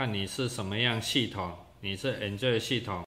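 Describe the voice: A man's fairly low voice, bright and sharp in tone, with fairly even intonation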